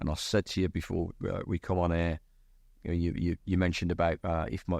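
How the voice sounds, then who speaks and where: In an English accent, a man with a very deep, low, dark and mellow voice talks very fast in a flat monotone. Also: quiet background. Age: 60s. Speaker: company CEO. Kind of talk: podcast interview. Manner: halting, many repetitions.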